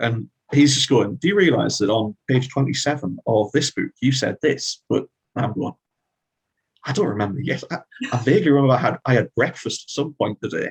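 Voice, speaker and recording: In a Northeast English accent, a man talks in a somewhat breathy voice with ordinary pitch variation, recorded with a dry, close sound and no echo. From Northeast England. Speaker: fantasy author. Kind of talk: interview.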